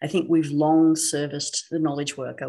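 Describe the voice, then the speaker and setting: A woman's very deep, low voice at a fairly quick pace, with an Australian accent. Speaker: technology specialist. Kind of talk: podcast interview.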